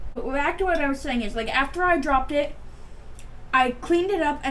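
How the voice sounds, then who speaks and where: A woman's voice with audible room echo. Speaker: beauty vlogger. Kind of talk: casual chat. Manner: rambling, fast casual talk with fillers; stuttering, halting.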